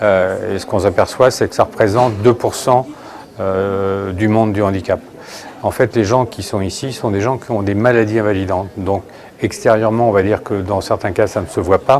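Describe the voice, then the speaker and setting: Against noticeable background noise, a man speaks at a moderate pace and fairly low pitch with fairly even intonation. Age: 60s. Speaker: company executive in a news report. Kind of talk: interview. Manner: halting, many hesitations.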